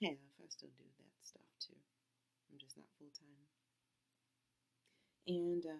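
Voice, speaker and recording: Soft-spoken, a woman talks at a very slow pace with long, frequent pauses. Her loudness swings widely. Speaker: fiber arts crafter. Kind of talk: casual talk to camera.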